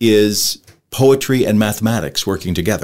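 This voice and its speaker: A man at a moderate pace, medium in pitch, an ordinary speaking voice. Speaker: podcast host. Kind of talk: casual interview.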